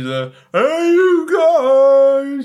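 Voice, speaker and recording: In a put-on character voice, the speaker talks with a high pitch. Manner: slurred, shouting.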